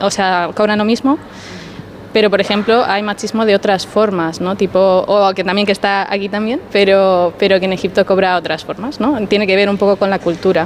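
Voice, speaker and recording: Over noticeable background noise, a woman speaks at a moderate pace and medium pitch with monotone, flat intonation. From Spain, of Egyptian parents. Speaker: private tutor. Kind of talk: casual group interview. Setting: market, on location.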